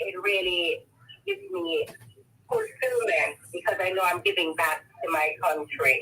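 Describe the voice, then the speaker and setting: A woman speaks with a Jamaican accent at a fairly slow pace. Her speech has long, frequent pauses. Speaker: foundation volunteer. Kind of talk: interview.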